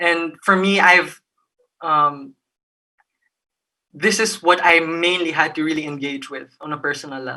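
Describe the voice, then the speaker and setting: Her tone bright and sharp, a woman speaks at a fairly low pitch and a moderate pace with ordinary pitch variation. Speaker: youth network member. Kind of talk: online panel talk. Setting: video call. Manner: halting, many false starts.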